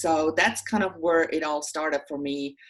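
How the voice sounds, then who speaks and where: A woman speaks with a Swiss German accent. Her pitch is very deep and low. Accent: Swiss German accent, noticeable. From German-speaking Switzerland. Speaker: social services official. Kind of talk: interview.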